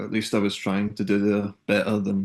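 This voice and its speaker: With a strong Scottish accent, a man speaks at a fairly low pitch against a quiet background. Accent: Scottish accent, still strong. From Scotland, Kilmarnock near Glasgow. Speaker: singer-songwriter. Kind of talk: interview. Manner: hesitant, many fillers.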